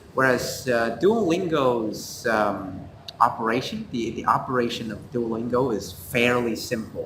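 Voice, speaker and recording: A man with a medium-pitched voice speaks amid audible room echo. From Vietnam. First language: Vietnamese. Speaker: student co-host. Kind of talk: casual review chat. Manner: halting, many fillers.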